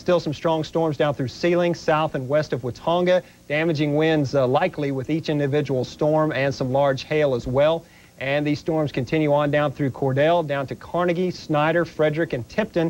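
A man talks with fairly even intonation at a moderate pace. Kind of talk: weather bulletin. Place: studio.

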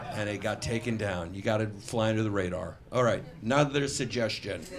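Moderate pace in an American accent, with light background noise. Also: man. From New York. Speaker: comedian; stand-up comedian. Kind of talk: improvised stand-up. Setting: stage with audience. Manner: animated. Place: stage. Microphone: handheld.

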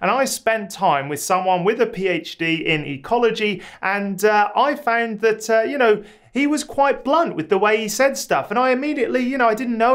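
The background stays quiet. Intonation is lively throughout. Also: man. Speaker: academic advice creator. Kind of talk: advice vlog talk. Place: home room.

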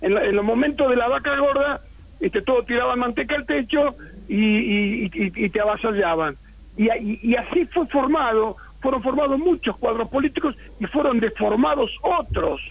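A man speaks at an extremely high pitch with lively intonation. His loudness stays very even. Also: moderate pace. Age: 70s. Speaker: political scientist and writer. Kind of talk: radio interview. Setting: phone call.

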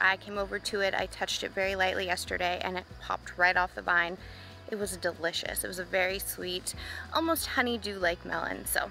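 Faint music plays in the background as a woman talks at a fairly quick pace. The sound is dry with no echo. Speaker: homestead gardening vlogger. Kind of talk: casual vlog chat. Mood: cheerful, upbeat. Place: garden. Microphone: phone near.

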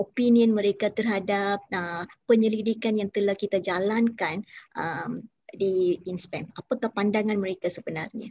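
A woman's somewhat breathy voice with a dark, mellow tone, medium pitch and ordinary pitch variation, at a fairly slow pace, in a dry sound with no echo against a quiet background. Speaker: interviewer. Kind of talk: formal interview. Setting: video call. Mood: polite, respectful. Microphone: video call.

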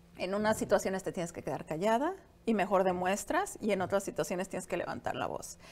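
A woman talks at a very fast pace with a slight Latin American accent. Her pitch variation is ordinary. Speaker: entrepreneur; interview guest. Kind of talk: interview. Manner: halting, many fillers. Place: studio. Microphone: lapel.

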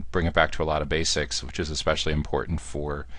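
A man with an American accent speaks at a fairly quick pace. His voice shows vocal fry and ordinary pitch variation. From US Northeast, Central New Jersey. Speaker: podcast host, marketing executive. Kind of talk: interview podcast.

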